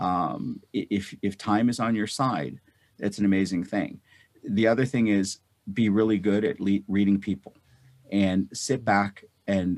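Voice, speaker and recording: A man's fairly low pitch and ordinary pitch variation in a plain, everyday voice, on a very clean recording with a silent background. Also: fairly slow pace. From North India, moved to US as child. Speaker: physician and real estate investor. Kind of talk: interview.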